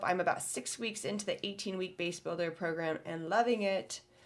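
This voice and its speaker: A woman speaks at a medium pitch in a Midwestern American accent. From US Midwest. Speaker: podcast co-host. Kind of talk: casual chat. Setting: studio.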